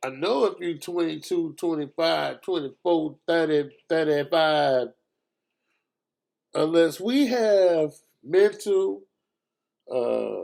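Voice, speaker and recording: A man with a fairly high pitch talks at a very slow pace. He leaves long, frequent pauses and uses ordinary pitch variation. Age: 60s. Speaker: podcast host. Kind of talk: casual commentary.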